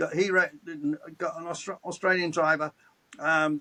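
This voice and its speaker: The man's voice is high-pitched with a bright, sharp tone and a dry, close sound free of echo. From England. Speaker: motorsports commentator. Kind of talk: interview answer.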